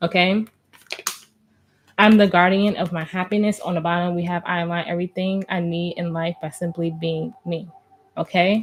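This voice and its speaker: In a fairly low voice, a woman with a New Jersey accent speaks in a flat monotone, with long, frequent pauses. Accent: New Jersey American. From New Jersey, US. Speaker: tarot reader. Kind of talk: tarot reading. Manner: fast.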